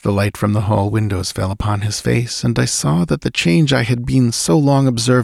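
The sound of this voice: Lively intonation in an unforced reading voice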